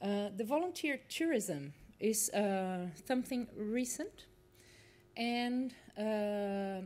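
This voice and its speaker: A woman's dark, mellow voice at a medium pitch, with a Portuguese accent and ordinary pitch variation. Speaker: university lecturer. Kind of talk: conference presentation. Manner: halting, many fillers.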